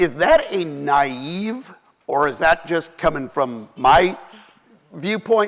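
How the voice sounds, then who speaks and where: A man with an ordinary speaking voice, fairly high in pitch, with lively intonation. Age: 60s. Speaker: panel moderator. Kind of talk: panel discussion. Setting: conference stage.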